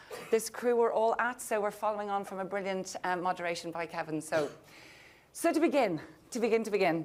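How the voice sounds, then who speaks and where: At a fairly quick pace, a woman with an Irish accent and a medium-pitched voice speaks with lively intonation. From Ireland. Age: 50s. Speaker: panel moderator. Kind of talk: panel discussion. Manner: animated.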